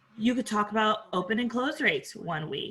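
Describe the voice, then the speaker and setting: A woman speaks at a very fast pace with a fairly high pitch and ordinary pitch variation. Noticeable background noise is present. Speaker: podcast coach. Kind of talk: interview.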